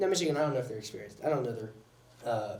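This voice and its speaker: A man's voice carries audible room echo. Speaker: sports show host. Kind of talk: casual sports commentary podcast. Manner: fast.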